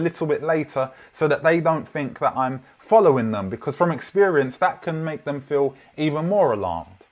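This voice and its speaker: Speaking with a London accent, a man with a fairly high voice moves at a fairly quick pace with lively intonation. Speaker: preacher. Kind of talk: sermon. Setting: online church livestream.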